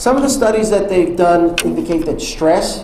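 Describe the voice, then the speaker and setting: Lively intonation in an American accent carries over noticeable background noise and audible room echo. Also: man. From New York. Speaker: public speaker on transgender topics. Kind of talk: talk to an audience. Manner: fast.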